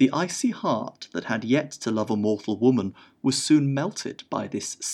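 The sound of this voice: The intonation is lively throughout this unforced reading voice.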